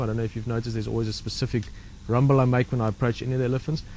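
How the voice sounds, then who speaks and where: Here is a man with a medium pitch. His voice sounds somewhat breathy. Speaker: safari guide. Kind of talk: casual chat. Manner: fast.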